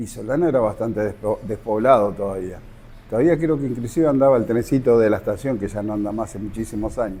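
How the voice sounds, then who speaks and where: In a dark, mellow tone, a man races along at a very fast pace. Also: medium pitch for a man, ordinary pitch variation. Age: 60s. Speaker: local resident, witness. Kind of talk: testimony.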